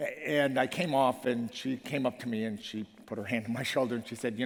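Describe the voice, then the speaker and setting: With an American accent, a man speaks at a fairly quick pace and a medium pitch. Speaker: professor and former foundation leader. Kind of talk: conference keynote speech. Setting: stage with audience. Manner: fast.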